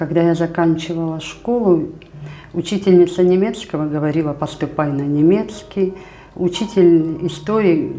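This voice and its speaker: Over noticeable background noise and audible room echo, a woman talks with fairly even intonation. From Kazakhstan. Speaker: teacher. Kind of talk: interview.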